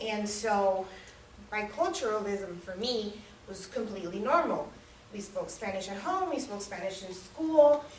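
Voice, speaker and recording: With a slight Miami accent, a woman of medium pitch talks at a fairly slow pace with lively intonation and big swings in loudness, amid noticeable background noise and audible room echo. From US South, Miami, Florida (Hialeah). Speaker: public speaking club member. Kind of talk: prepared speech. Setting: room with audience. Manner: casual.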